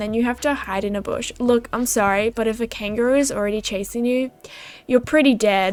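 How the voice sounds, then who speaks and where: A woman speaks with a slight Australian accent. Her pitch sits fairly high. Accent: mild Australian. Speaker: gaming YouTuber. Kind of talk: casual chat. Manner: animated.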